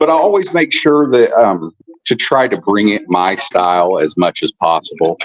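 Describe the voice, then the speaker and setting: A man with a southern Illinois accent talks at a moderate pace and a medium pitch. His pitch swings very widely while his loudness stays very even, in a dry, close sound with no echo. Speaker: film director. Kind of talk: interview.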